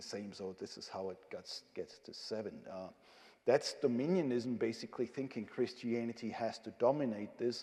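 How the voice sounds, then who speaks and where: At a moderate pace, a man speaks with medium pitch, ordinary pitch variation and a dark, mellow tone. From Germany. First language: German. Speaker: theology professor. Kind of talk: lecture. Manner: hesitant, many filler sounds.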